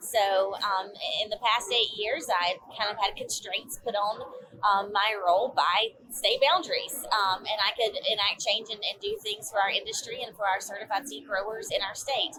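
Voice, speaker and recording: In a Georgia accent, a woman speaks at a moderate pace with a fairly high pitch and ordinary pitch variation. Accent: Southern, Georgia. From US South, northeast Georgia mountains. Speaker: agricultural association executive. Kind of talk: interview. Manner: hesitant, many fillers.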